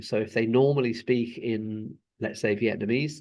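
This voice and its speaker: In a British accent, a man talks at medium pitch and a moderate pace. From UK. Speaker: school inspector. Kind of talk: interview. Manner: hesitant, many repeated words.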